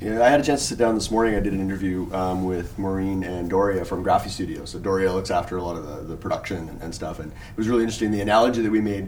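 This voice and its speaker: A man's fairly low-pitched voice at a very fast pace, with ordinary pitch variation and noticeable background noise. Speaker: wedding photographer and podcast co-host. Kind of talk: casual panel discussion. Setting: hotel room at a convention, group recording.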